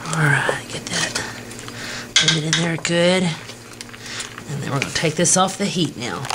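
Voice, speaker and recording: A woman speaks at a very deep, low pitch against noticeable background noise. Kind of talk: tutorial. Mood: relaxed and friendly. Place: kitchen. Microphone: old recording.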